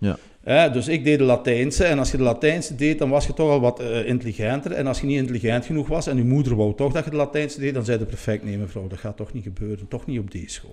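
The speaker is a man with ordinary pitch variation. He goes at a very fast pace. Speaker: podcast guest. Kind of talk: interview answer. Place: studio. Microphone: studio mic.

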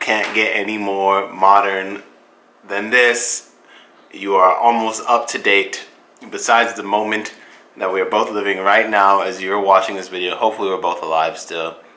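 With a monotone, flat intonation, a man of fairly low pitch talks at a moderate pace. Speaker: vlogger. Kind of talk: casual vlog chat. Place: home room. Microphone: phone near.

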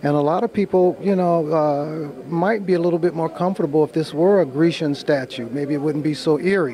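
Speaking at a fairly quick pace with hardly any pauses, a man has a fairly high pitch and ordinary pitch variation. There is noticeable background noise. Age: 60s. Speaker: sculptor. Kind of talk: interview at art show. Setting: art show in a church.

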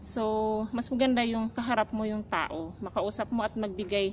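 A woman talks at a moderate pace with a fairly high pitch and fairly even intonation. Her voice is somewhat breathy, with light background noise. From Philippines. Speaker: domestic helper vlogger. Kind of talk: casual vlog talk. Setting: outdoors. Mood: calm, advising. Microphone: phone near.

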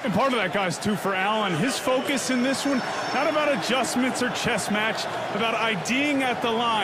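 Over noticeable background noise, a man projects his raised voice. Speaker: sideline reporter. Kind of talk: live sideline report. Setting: outdoors on the field in freezing cold.

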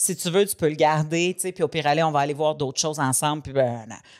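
A woman speaks at a very fast pace in a very deep, low pitch. The background is quiet. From Quebec. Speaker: podcast co-host; comedian. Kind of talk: casual chat. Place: studio. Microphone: studio mic.

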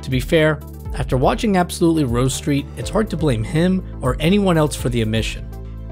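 A man talking at a fairly quick clip, with music in the background. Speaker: documentary narrator. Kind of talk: video documentary narration.

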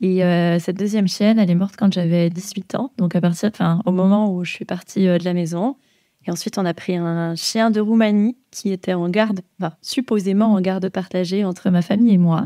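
The recording is very clean, with a silent background. A woman speaks at a moderate pace in a dark, mellow tone with fairly even intonation. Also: medium pitch for a woman, dry, close sound with no echo. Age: 20s. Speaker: dog trainer. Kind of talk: casual chat. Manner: hesitant, many fillers.

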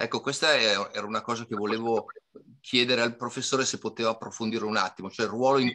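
Against a quiet background, a man speaks in a bright, sharp tone with fairly even intonation. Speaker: course participant. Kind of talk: question from audience. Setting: video call. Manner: halting. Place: home room. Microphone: webcam.

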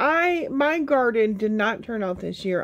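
At a moderate pace, a woman speaks. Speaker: home canning vlogger. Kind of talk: casual vlog chat. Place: home room. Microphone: phone near.

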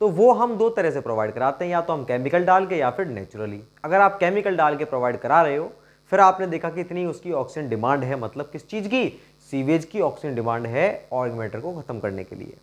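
Speaking at a moderate pace, a man swings very widely in pitch. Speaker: teacher. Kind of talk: lecture. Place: classroom. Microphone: lapel.

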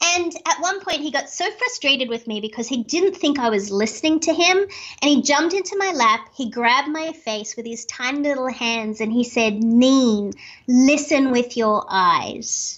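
Over a quiet background, someone with an Australian accent talks at a moderate pace with lively intonation. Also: woman, high pitch for a woman. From Australia, Sydney. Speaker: speaker and author. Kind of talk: interview. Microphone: video call.

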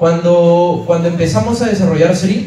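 With audible room echo, a man speaks at a moderate pace and a high pitch. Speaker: presenter. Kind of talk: motivational talk. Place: hall.

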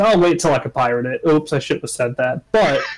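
The speaker has a normal speaking voice with ordinary pitch variation. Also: man. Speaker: gamer. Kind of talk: casual chat. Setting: video call.

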